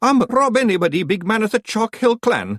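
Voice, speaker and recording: Using a put-on character voice with a Scottish accent, a man talks at a fairly quick pace and a high pitch, with ordinary pitch variation, very even loudness and a dry, close sound with no echo. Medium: read story.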